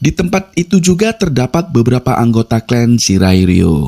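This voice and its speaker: In a Javanese accent, a man with a dark, mellow tone and medium pitch speaks at a moderate pace with very wide pitch swings, in a dry, close sound with no echo. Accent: Javanese accent (medok). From Java, Indonesia. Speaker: movie recap narrator. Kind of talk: scripted narration.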